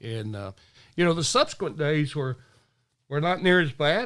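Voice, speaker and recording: A man with a Southern US accent, fairly high-pitched, with lively intonation. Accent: Southern US drawl. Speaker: retired police officer. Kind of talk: interview answer.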